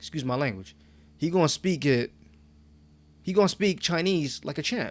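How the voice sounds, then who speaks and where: Speaking at a fairly quick pace, a man has an American accent. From New York. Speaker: podcast co-host. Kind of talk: casual chat.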